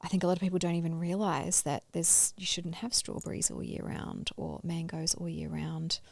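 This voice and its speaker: Moving at a fairly quick pace, a woman talks with hardly any pauses. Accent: Australian. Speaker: podcast co-host, health practitioner. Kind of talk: casual chat.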